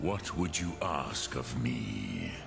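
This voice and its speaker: A put-on character voice comes from a man amid loud background noise. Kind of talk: ancient sage. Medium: video game. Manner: slow, measured, sprinkles ancient dragon-tongue words.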